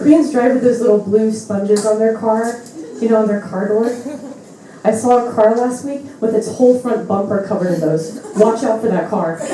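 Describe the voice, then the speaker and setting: Amid noticeable background noise and audible room echo, a woman with an American accent talks at a moderate pace, her pitch fairly high with ordinary variation. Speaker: comedian. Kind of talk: stand-up.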